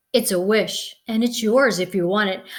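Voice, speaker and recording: A woman uses a put-on character voice at a fairly high pitch. She speaks at a moderate pace. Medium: read story.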